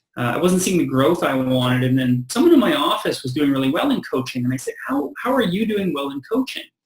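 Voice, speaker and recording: Fairly high in pitch, a man speaks at a very fast pace with hardly any pauses. His pitch swings very widely. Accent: Canadian. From western Canada, British Columbia. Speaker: real estate agent. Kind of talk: interview, giving advice.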